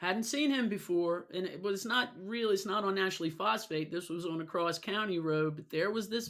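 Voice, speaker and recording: This very clean recording with a silent background carries an animated tone, ordinary pitch variation and a moderate pace. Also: woman. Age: 60s. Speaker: vlogger. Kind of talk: casual monologue.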